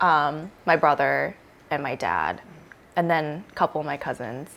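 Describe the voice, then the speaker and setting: Woman with an American accent, very deep low pitch, vocal fry, ordinary pitch variation, fairly slow pace and long, frequent pauses. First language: Korean. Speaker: friend of the host. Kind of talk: casual chat.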